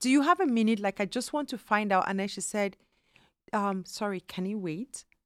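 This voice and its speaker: Over a very clean recording with a silent background, a woman speaks at a fairly high pitch and moderate pace, with lively intonation and a dry, close sound with no echo. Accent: Nigerian. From Nigeria. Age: 40s. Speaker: immigrant mother. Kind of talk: casual interview chat.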